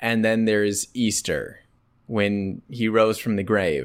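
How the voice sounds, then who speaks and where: A man talks at a very slow pace. The recording is very clean, with a silent background. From rural Wisconsin, US. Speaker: podcast co-host. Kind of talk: casual chat.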